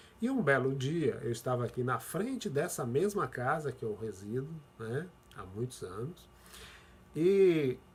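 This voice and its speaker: Fairly high pitch and a somewhat breathy quality in a man's voice. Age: 60s. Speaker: pastor. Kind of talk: sermon.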